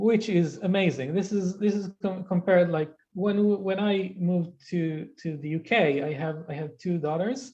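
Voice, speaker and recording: The speaker has an Israeli accent and talks at a moderate pace. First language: Hebrew. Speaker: Hebrew language specialist. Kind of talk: interview conversation.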